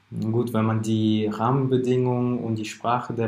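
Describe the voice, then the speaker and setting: Amid audible room echo, a man speaks at a moderate pace in a monotone, flat delivery. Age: 20s. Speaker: founder of a social media marketing agency. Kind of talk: podcast interview.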